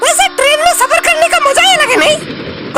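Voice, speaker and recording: A squeaky, cartoonish character voice at a moderate pace. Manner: teasing, sarcastic.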